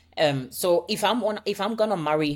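A woman is talking. Her accent is American. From Ghana. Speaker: marriage coach. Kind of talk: interview. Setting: remote call from Copenhagen.

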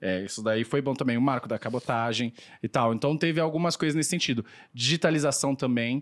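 A man's ordinary speaking voice at a fairly quick pace, dry and close with no echo, in a very clean recording with a silent background. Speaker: economist. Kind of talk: casual podcast discussion.

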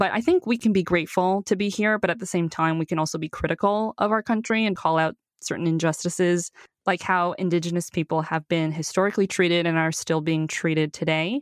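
In an ordinary speaking voice with a Canadian accent, a woman speaks at a fairly low pitch with ordinary pitch variation and very even loudness, the sound dry and close with no echo against a quiet background. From China, raised in Canada from age six. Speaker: podcast host. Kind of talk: scripted narration; casual chat.

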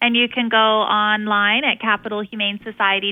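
Here is a woman with an unremarkable speaking voice. Her pitch is fairly high and her pace moderate. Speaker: animal shelter spokesperson. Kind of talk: radio interview. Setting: phone call.

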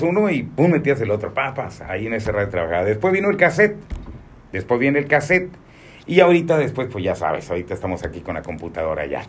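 Speech at a very fast pace carries vocal fry and very wide pitch swings. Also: man. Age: 60s. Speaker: radio announcer. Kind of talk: interview.

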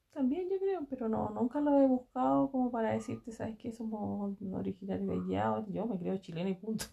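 A woman speaks at a fairly quick pace. She leaves hardly any pauses. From Chile, Aconcagua valley (Santa María, Tocornal). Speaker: interviewee, mother of the interviewer. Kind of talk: casual family interview. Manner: hesitant, with fillers and repetitions.

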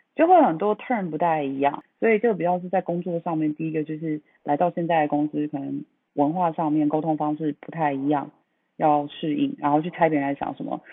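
Fairly quick in pace, a woman talks with a very deep, low pitch. Her pitch variation is ordinary. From Taipei, Taiwan. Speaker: brand marketing professional. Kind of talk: casual chat. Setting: remote call recording. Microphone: different sound quality from host, remote line.

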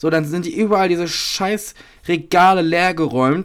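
Moderate-paced speech from a man, very clean recording, silent background. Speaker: podcast co-host. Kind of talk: casual chat.

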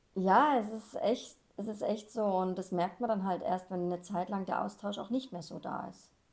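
A woman speaks at a moderate pace with ordinary pitch variation. She has a plain, everyday voice. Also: medium pitch for a woman. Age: 40s. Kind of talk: casual chat.

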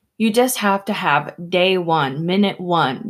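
Delivered in an ordinary speaking voice, the words come fairly slowly, and the pitch rises and falls in an ordinary way. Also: woman. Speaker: host's wife, guest interviewer. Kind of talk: casual interview chat.

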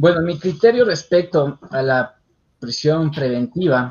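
A somewhat breathy voice with lively intonation at a very slow pace. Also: man. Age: young. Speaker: criminal lawyer. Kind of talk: interview on legal topic. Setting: online radio show.

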